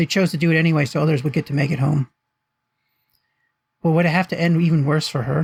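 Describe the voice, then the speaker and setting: Somewhat breathy and fairly high-pitched, a man speaks very fast with fairly even intonation in a dry, close sound with no echo. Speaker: author reading own fiction. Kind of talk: audiobook narration.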